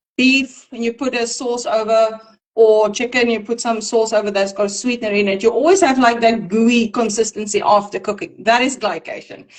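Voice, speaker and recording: A woman talks in a non-native accent at a fairly high pitch. Her pace is moderate and her pitch variation ordinary. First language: not English. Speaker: nutrition practitioner. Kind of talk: casual educational discussion. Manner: halting.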